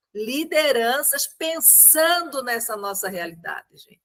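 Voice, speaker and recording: Her tone is bright and sharp. The woman speaks at a very slow pace. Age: 60s. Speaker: meeting participant, community leader. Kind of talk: group discussion contribution.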